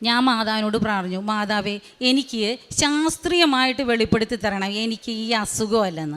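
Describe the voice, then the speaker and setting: A woman's voice with ordinary pitch variation. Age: 50s. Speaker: churchgoer giving testimony. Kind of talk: testimony.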